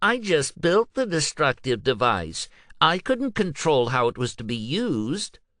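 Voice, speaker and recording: Putting on a whiny character voice, a man talks at a moderate pace at a fairly high pitch, swinging through very wide pitch changes. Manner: whiny, mocking.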